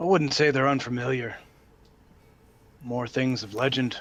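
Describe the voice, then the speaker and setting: Put-on character voice from a man, pitched in the middle range and paced moderately. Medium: actual play. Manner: curt, cold, commanding.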